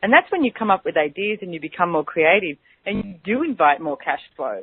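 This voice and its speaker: With an Australian accent, a woman speaks at a fairly quick pace and a medium pitch. Her intonation is lively, and her loudness swings widely. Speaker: radio host and business mentor. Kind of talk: radio talk show with guided clearing statements. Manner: fast; animated.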